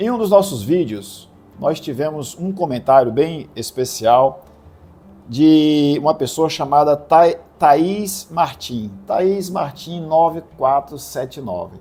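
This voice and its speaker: In a dark, mellow, calm tone, a man with a fairly high pitch speaks very slowly, his intonation lively. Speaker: religious video host. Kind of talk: religious commentary video.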